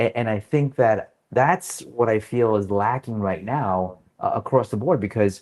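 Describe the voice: A man's fairly low, slightly mellow voice at a fairly slow pace with ordinary pitch variation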